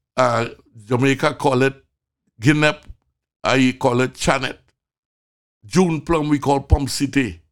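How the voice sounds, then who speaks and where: In a very clean recording with a silent background, a man with a Trinidadian accent speaks at a fairly high pitch and a fairly slow pace, using fairly even intonation and long, frequent pauses. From Trinidad, rural. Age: 70s. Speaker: physician, medical show host. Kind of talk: casual chat.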